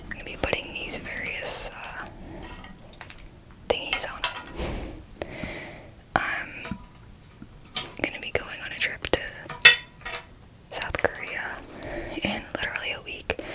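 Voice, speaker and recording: A woman whispers at a fairly slow pace, with long, frequent pauses and big swings in loudness, over noticeable background noise. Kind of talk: casual talk to camera, ASMR whisper ramble. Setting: close-mic, home recording at night. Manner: whispered, close to the microphone.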